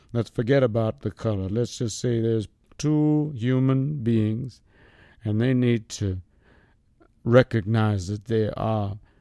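The recording is very clean with a silent background. A man speaks fairly slowly in a dark, mellow tone. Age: 80s+. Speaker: elderly resident interviewed about race relations. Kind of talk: interview.

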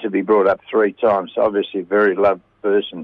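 There is an Australian accent in this man's speech. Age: 70s. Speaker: radio segment presenter. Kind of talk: casual chat.

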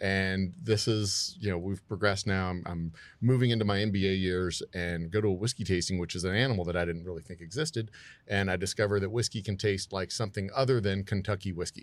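Speaking with a Texan accent, a man uses a fairly low pitch and fairly even intonation at a very fast pace. The recording is very clean, with a silent background. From Texas, Houston. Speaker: distillery owner. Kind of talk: casual chat. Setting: studio.

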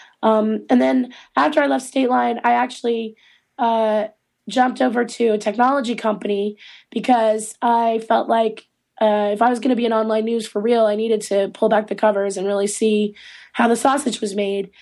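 This is a normal speaking voice. It comes with an American accent. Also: woman, fairly high pitch for a woman, ordinary pitch variation, moderate pace. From Eastern North Carolina. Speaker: trade association executive director. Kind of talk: interview. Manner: many fillers and restarts.

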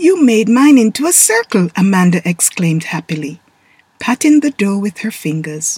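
Plain reading aloud is what this clip contains.

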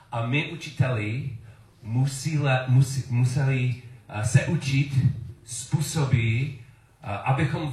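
A man's somewhat breathy voice at a medium pitch, very slow in pace, with fairly even intonation. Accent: English. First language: English (speaking Czech). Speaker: preacher. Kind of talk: sermon. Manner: halting.

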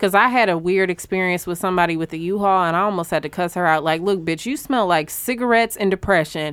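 The speech is very fast with hardly any pauses and ordinary pitch variation. The recording is very clean, with a silent background. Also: woman, medium pitch for a woman. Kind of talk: casual chat.

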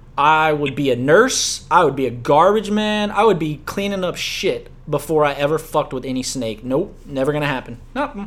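In a plain, everyday voice with an American accent, the speaker uses lively intonation at a moderate pace with hardly any pauses. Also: man, fairly high pitch for a man. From US South, Louisiana. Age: 20s. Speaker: podcast host. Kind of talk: casual chat.

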